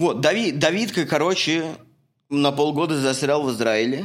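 There is a man talking, captured on a very clean recording against a silent background. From Russia. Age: 30s. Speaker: podcast host, construction worker and photographer. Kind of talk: casual chat, podcast introduction. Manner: informal, friendly, chatty.

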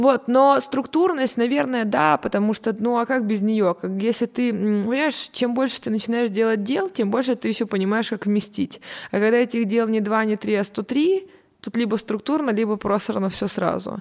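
A woman's ordinary speaking voice, fairly high in pitch, at a moderate pace with ordinary pitch variation. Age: 20s. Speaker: communications agency partner. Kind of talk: casual chat.

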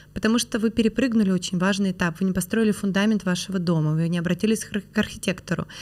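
Talking very fast, a woman keeps a medium pitch that varies in an ordinary way. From Perm, Russia. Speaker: franchising expert and business founder. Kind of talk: casual interview conversation.

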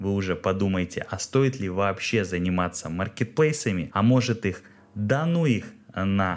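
Pitch variation is ordinary in this moderate-paced delivery, spoken in an ordinary speaking voice. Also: man. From Russia, Kirov. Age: 30s. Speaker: podcast host, small business owner. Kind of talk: solo podcast monologue.

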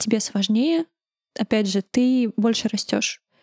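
A soft-spoken woman's fairly high-pitched voice with fairly even intonation at a moderate pace. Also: dry, close sound with no echo. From Uzbekistan, Tashkent. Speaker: press service head. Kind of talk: interview.

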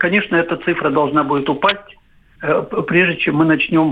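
An ordinary speaking voice comes from a man with fairly high pitch. He keeps a moderate pace and fairly even intonation. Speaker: virologist, professor. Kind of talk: expert interview. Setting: phone call.

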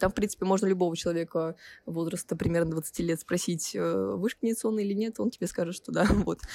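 A woman rattles along at a very fast pace in a fairly low-pitched voice. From Russia, Nizhny Novgorod. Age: 18. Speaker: first-year university student. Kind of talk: casual interview.

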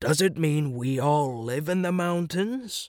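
A man talks at a fairly slow pace in a put-on character voice. His pitch sits fairly high. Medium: read story. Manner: questioning, skeptical.

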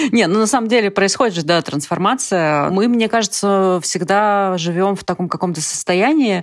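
Here a woman has an unremarkable speaking voice and a fairly slow pace. Her intonation is lively. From Siberia, Russia (Ust-Ilimsk). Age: 30s. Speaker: writer. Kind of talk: casual chat.

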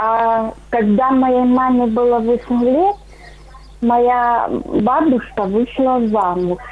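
Speaking very slowly, a woman uses a high-pitched voice, with noticeable background noise. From Russian Far East. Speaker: caller. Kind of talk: phone-in storytelling. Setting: phone call.

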